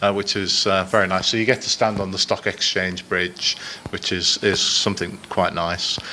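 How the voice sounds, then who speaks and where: A man's very deep, low voice, monotone and flat, at a moderate pace against noticeable background noise. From Liverpool, northern England. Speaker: business executive. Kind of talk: conference presentation. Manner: halting, many fillers.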